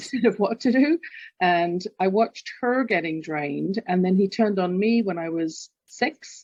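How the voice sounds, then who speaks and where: With an English accent, a woman talks at a moderate pace and medium pitch, her intonation lively. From London, England. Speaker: executive coach and author. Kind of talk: interview.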